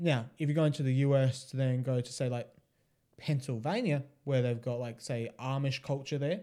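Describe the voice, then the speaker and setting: A man with an Australian accent speaks at a moderate pace. His medium-pitched voice has a dark, mellow tone and fairly even intonation. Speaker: podcast co-host. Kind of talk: casual chat.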